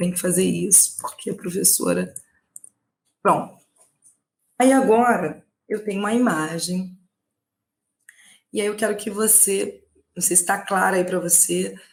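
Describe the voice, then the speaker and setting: Speaking at a fairly slow pace, a woman with a somewhat breathy voice and ordinary pitch variation leaves long, frequent pauses. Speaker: Portuguese language teacher. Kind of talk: online lecture, exam prep live stream. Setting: live stream.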